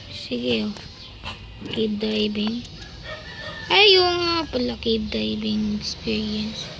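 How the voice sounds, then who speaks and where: The speaker talks at a very slow pace with long, frequent pauses over noticeable background noise. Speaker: gaming video creator. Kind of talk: gameplay commentary. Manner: animated.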